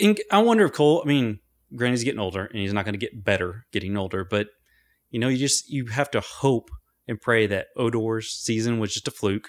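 With a plain, everyday voice, the speaker talks at a fairly quick pace with ordinary pitch variation, captured in a dry, close sound with no echo on a very clean recording with a silent background. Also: man, medium pitch for a man. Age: 40s. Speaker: sports podcast co-host. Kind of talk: casual chat.

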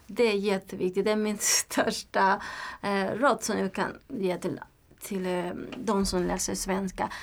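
A woman with a Spanish accent speaks at a fairly slow pace and medium pitch with ordinary pitch variation, in a very clean recording with a silent background. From Nicaragua. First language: Spanish (speaking Swedish). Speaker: language learner, community organization worker. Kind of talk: interview. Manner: halting, with hesitations and repetitions.

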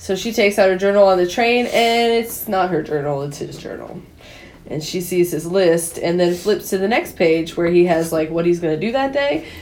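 An unremarkable speaking voice, a woman's, at a moderate pace, fairly low in pitch and with ordinary pitch variation. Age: 30s. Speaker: podcast co-host. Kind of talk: casual chat. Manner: laughs often.

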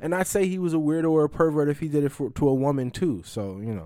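A man speaks at a very fast pace in a medium pitch, with very wide pitch swings. The recording is very clean, with a silent background. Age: 30s. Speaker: podcast host. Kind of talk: casual monologue. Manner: halting.

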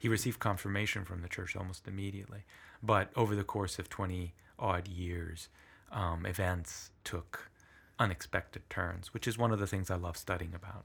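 A man's very deep, low voice at a moderate pace, with fairly even intonation, on a very clean recording with a silent background. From southern Italy (Puglia), moved to US at eight. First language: Italian. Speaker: history professor. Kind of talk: interview conversation. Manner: thoughtful, hesitant with fillers.

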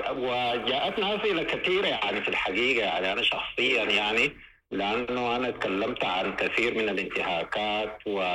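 Speaking at a moderate pace with hardly any pauses, the voice keeps a very even loudness and lively intonation against noticeable background noise. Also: man, medium pitch for a man. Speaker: lawyer and political leader. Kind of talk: radio interview. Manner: halting, many fillers.

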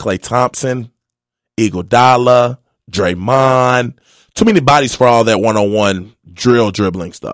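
In a normal speaking voice, a man of medium pitch talks at a fairly slow pace with ordinary pitch variation. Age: 30s. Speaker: former pro basketball player. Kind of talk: casual chat.

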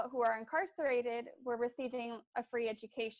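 A woman with an American accent, high in pitch, fairly quick and fairly even in intonation. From Bakersfield, California. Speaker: graduate student. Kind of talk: interview.

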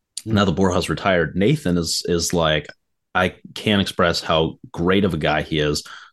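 Over a quiet background, the speaker keeps a moderate pace with ordinary pitch variation. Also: man, very deep, low pitch for a man. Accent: American. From US Midwest, Detroit suburbs. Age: young. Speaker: podcaster and squash player. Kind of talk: casual chat. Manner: animated.

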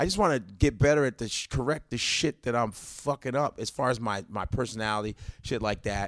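On a very clean recording with a silent background and a dry, close sound with no echo, a man with an ordinary speaking voice talks at a fairly quick pace and a medium pitch, with ordinary pitch variation and hardly any pauses. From Chicago, North Side. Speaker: stand-up comedian. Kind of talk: casual chat.

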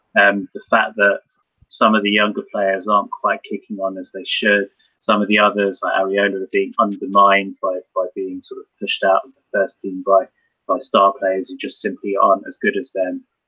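In a dry, close recording with no echo, a man speaks in a low, monotone voice that is bright and sharp in tone with a slightly husky edge. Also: moderate pace.

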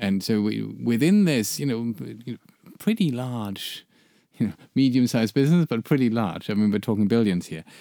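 With a German accent and a dark, mellow tone, the speaker keeps a moderate pace and ordinary pitch variation in a very clean recording with a silent background. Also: man. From Germany. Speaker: branding agency founder and podcast co-host. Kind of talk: casual chat. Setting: studio.

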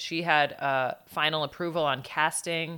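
On a very clean recording with a silent background, a woman speaks fairly slowly in a bright, sharp tone with fairly even intonation. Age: 20s. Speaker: comedian. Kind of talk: casual chat.

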